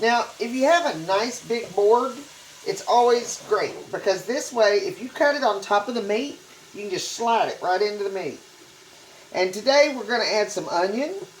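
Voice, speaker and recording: A woman's fairly high voice with a Texan accent, very wide pitch swings and a moderate pace, amid noticeable background noise and audible room echo. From Texas. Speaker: cooking channel host. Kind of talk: cooking tutorial. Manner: casual, conversational.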